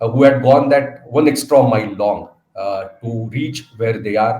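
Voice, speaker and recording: A man with an Indian accent at a moderate pace. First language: Marathi. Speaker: speaker at training programme. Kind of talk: inaugural address. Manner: hesitant, frequent fillers.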